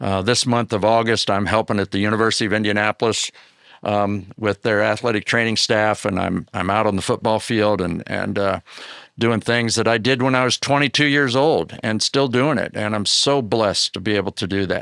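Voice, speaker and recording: Fairly low in pitch, a man talks at a moderate pace with fairly even intonation, in a very clean recording with a silent background and a dry, close sound with no echo. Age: 60s. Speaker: athletic trainer, podcast co-host. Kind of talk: casual podcast conversation. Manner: halting, many fillers.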